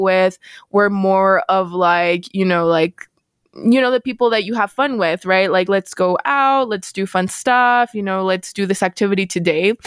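In a very clean recording with a silent background and a dry, close sound with no echo, a woman with an ordinary speaking voice talks at a moderate pace and medium pitch, with ordinary pitch variation. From El Paso, Texas. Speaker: engineer and program manager. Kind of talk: interview.

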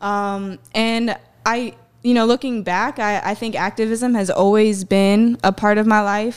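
In a very clean recording with a silent background, a woman with an American accent speaks at a fairly slow pace with monotone, flat intonation. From US South, South Carolina (Myrtle Beach). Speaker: activist. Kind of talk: interview.

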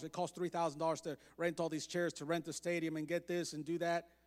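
A man speaks at a very fast pace with a high pitch. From Mexico. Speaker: missionary preacher. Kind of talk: sermon. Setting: church.

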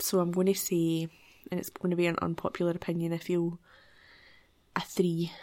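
A woman with a Glaswegian accent speaks at a fairly quick pace in a fairly low, dark, mellow tone. Her intonation is monotone and flat, with long, frequent pauses. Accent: Glaswegian Scottish. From Scotland, Glasgow area. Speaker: podcast co-host. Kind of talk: casual chat.

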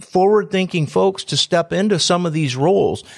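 The voice carries ordinary pitch variation on a very clean recording with a silent background. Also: man. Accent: Midwestern American. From Antwerp, northwest Ohio. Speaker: economic development director and radio host. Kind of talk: interview.

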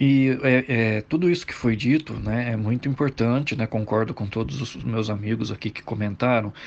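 At a moderate pace, a man talks in an ordinary speaking voice with ordinary pitch variation. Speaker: political commentator. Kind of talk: casual chat.

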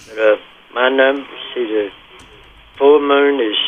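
Over noticeable background noise, a man talks at a moderate pace with monotone, flat intonation. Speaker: caller. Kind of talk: casual phone chat. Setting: phone call.

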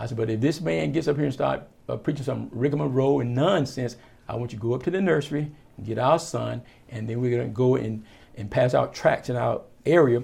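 In a Virginia accent, a man of medium pitch talks at a fairly quick pace, his dark, mellow tone touched with vocal fry. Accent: Southern American (Virginia). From rural southeastern Virginia, US South. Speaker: pastor, Air Force veteran. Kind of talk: casual interview. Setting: in person at his church.

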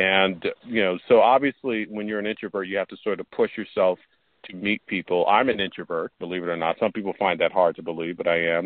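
A man's loudness swings widely. His pitch is fairly low and his intonation fairly even. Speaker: podcast host. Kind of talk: casual interview chat. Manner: halting, filler-heavy.

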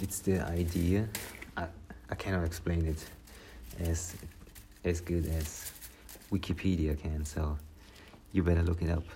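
A man's very deep, low voice, monotone and flat, at a fairly slow pace with long, frequent pauses, against noticeable background noise. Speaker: solo podcaster. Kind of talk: casual monologue. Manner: rambling, hesitant.

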